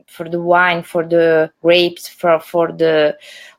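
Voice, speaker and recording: A woman speaks very slowly in an Italian accent, her voice fairly low. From Puglia, southern Italy. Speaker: winery owner. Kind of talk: livestream interview. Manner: halting, repetitive.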